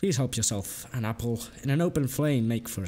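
Ordinary pitch variation in plain reading aloud

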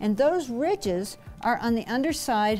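A woman speaks over faint background music. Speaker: guest. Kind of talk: explanatory teaching talk. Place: classroom. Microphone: lapel.

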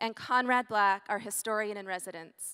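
A woman's bright, sharp tone with ordinary pitch variation over a quiet background. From Canada. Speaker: ethics scholar and event host. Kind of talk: formal introduction. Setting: stage with audience. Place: stage. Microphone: handheld.

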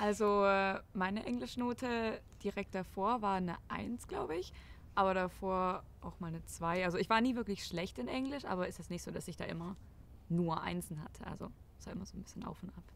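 Fairly quick speech from a woman at medium pitch, with ordinary pitch variation and a dry sound with no echo. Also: big swings in loudness. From Germany. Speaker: former exchange student. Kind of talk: casual chat. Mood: relaxed, reflective. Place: garden.

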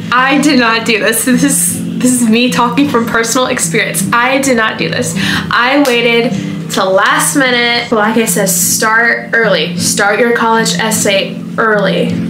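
Against clear music in the background, a woman speaks at a fairly slow pace with ordinary pitch variation. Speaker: vlogger. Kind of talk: casual advice vlog. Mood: friendly, upbeat. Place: home room. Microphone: camera far.

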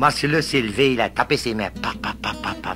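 A man speaks with a Cajun accent. Music plays in the background. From Louisiana. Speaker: storyteller. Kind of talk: humorous folk tale telling.

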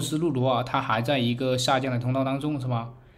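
A man talking at a very fast pace, with audible room echo. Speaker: crypto market commentator. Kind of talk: chart analysis tutorial. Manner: many filler particles (啊).

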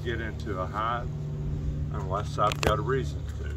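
Loud background noise surrounds a man speaking at a fairly slow pace. The sound is dry, with no echo. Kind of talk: casual explanation. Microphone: camera far.

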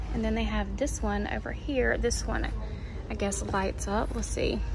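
A woman talks at a fairly slow pace with vocal fry, and background noise is clearly audible.

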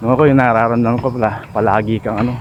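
Over noticeable background noise, a man talks at a medium pitch in a monotone, flat intonation. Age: 50s. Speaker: vlogger. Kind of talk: casual vlog narration. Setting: outdoors.

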